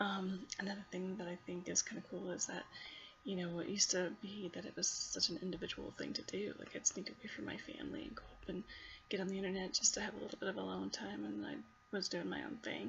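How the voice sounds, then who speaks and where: A quiet voice goes at a very fast pace over noticeable background noise. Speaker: college student. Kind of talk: class video reflection. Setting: at home at night.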